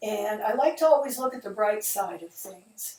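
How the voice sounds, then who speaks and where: A woman with an Upper Midwest accent talks with ordinary pitch variation. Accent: Upper Midwest American. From US Midwest, Detroit, Michigan. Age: 70s. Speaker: video narrator, widow of the preacher. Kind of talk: casual spoken introduction to a video. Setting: at home, seated at a table.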